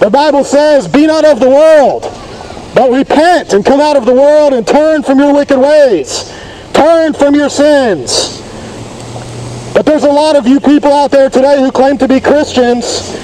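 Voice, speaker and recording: A man's extremely high-pitched voice at a moderate pace, with ordinary pitch variation and light background noise. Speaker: street preacher. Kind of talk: street preaching over a microphone to passers-by. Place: street. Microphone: phone near.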